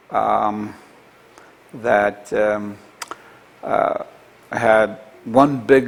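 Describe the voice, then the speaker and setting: A man is speaking. Noticeable background noise is heard behind him. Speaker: Holocaust-era survivor recounting family history. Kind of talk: oral history interview. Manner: halting.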